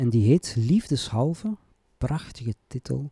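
A man's somewhat breathy, dark, mellow voice at a very slow pace, in a dry, close sound with no echo. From Flanders, Belgium (Antwerp province). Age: 40s. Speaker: poet and writing teacher. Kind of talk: casual interview.

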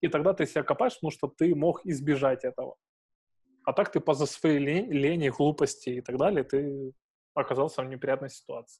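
A man speaks fairly quickly in a fairly high, somewhat breathy voice. His pitch varies in an ordinary way. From Ukrainian provinces. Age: 20s. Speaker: podcast host. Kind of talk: casual chat.

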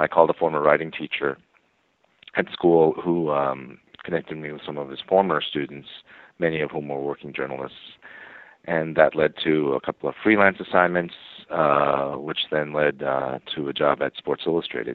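A man with an American accent, very deep and low in pitch, at a moderate pace with fairly even intonation. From New York City and suburban New Jersey. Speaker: TV writer and producer. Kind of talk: interview.

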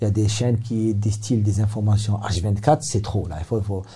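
A man speaks at a fairly low pitch and a moderate pace, with ordinary pitch variation. His tone is dark and mellow, and somewhat breathy. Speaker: psychiatrist. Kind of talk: interview. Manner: halting.

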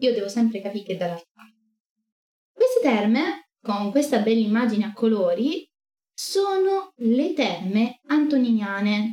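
Pitched fairly high, a woman's somewhat breathy voice moves at a fairly slow pace with very wide pitch swings, big swings in loudness, and long, frequent pauses. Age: 20s. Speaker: streamer teaching ancient history. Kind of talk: livestream lecture. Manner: animated.

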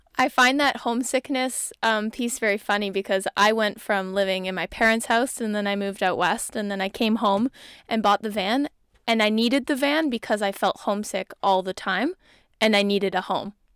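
On a very clean, dry, close recording with a silent background and no echo, a woman with a fairly high pitch speaks at a moderate pace with ordinary pitch variation. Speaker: podcast host. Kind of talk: casual chat. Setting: inside a van.

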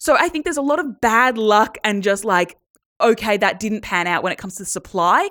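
A woman with an Australian accent talks at a fairly quick pace with a medium pitch on a very clean recording with a silent background. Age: young. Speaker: podcast co-host, journalist. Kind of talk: casual chat.

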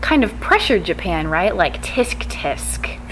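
At a moderate speed, a woman talks while noticeable noise carries on behind her. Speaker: podcast host and conference presenter. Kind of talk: conference talk discussion, explanatory.

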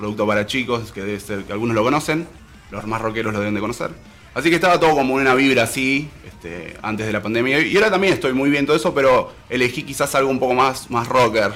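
Speaking at a very fast pace, a man uses lively intonation at a medium pitch. Noticeable background noise runs behind him. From Salta, Argentina. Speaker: musician and guitar teacher. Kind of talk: casual interview.

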